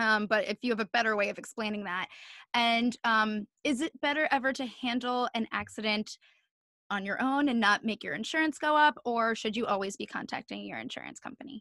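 A woman with an American accent talks fairly quickly in a fairly high voice with a bright, sharp tone and ordinary pitch variation. The background is quiet and the sound is dry with no echo. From New Jersey. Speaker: podcast host. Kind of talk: casual interview. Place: home room. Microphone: studio mic.

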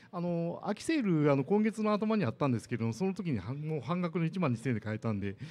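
Delivery is very fast. The pitch swings very widely. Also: man. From Japan. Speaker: amateur marathon runner and tech speaker; presenter. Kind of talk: lightning talk. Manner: hesitant, many fillers. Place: hall.

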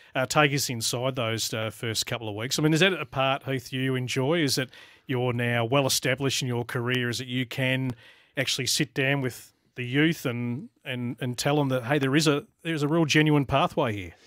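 A man with an Australian accent speaks at a moderate pace with fairly even intonation. The sound is dry with no echo, and the background is quiet. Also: medium pitch for a man. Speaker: tennis radio host. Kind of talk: casual sports chat. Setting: studio. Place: studio. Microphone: studio mic.

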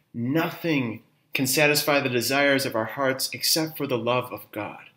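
Audible room echo surrounds a voice moving at a fairly slow pace with ordinary pitch variation. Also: man. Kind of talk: spiritual talk. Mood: calm, warm, earnest. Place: home room.

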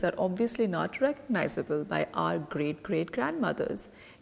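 A woman with vocal fry at a fairly slow pace. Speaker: wellness show host. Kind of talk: informational talk to camera. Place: home room.

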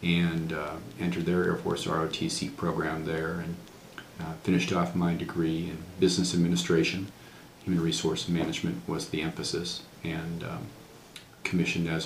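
A man speaks at a moderate pace in a very deep, low voice with ordinary pitch variation. Light background noise and audible room echo fill the recording. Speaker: interviewee. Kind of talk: interview answer. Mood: calm, reflective. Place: office.

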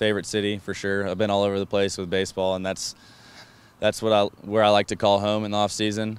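This man's voice sits fairly low, with monotone, flat intonation. The sound is dry, with no echo. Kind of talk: interview answer. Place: stadium.

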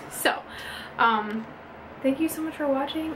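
With noticeable background noise behind her, a woman speaks at a moderate pace in a high voice with ordinary pitch variation. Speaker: mom vlogger. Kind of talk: casual vlog chat. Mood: excited, emotional. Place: bathroom. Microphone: phone near.

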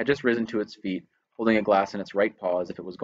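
With a quiet background, a passage is read aloud in a natural voice.

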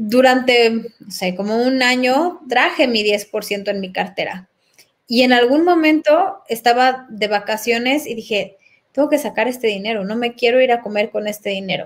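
Her pitch is high, and she is a woman speaking at a moderate pace. Her pitch varies in an ordinary way. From Mexico City. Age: 40s. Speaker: personal development facilitator. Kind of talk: casual interview. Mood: calm, reflective. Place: home room. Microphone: webcam.

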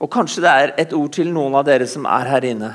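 The background stays quiet. Here a man talks at a moderate pace. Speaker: preacher. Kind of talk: sermon. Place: church. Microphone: headset.

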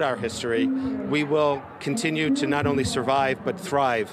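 A man talks at a fairly slow pace with lively intonation, his dry, echo-free voice set against loud background noise. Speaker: rally speaker. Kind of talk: rally speech. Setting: outdoor rally. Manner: earnest, passionate, declamatory. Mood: earnest, resolute. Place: street. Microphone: handheld.

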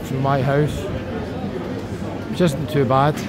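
Music plays in the background. A man speaks at a moderate pace. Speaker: travel vlogger. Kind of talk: casual vlog chat. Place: hall. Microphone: phone near.

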